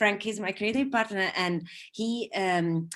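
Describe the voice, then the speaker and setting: A woman speaks at a moderate pace in an Italian accent. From southern Italy. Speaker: advertising creative. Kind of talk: online talk interview. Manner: halting, many fillers.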